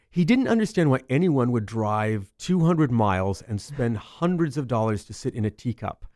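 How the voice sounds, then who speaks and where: On a very clean recording with a silent background and a dry, close sound with no echo, a man with an American accent and a normal speaking voice talks at a moderate pace and medium pitch, with lively intonation and hardly any pauses. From Central California. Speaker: speaker and actor. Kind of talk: casual interview chat. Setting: studio.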